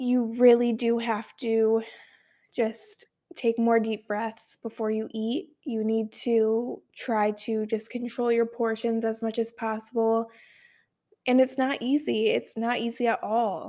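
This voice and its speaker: Very slow and monotone in flat intonation, a woman speaks with a fairly high pitch. Her tone is dark and mellow. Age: 20s. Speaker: podcast host. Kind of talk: casual monologue.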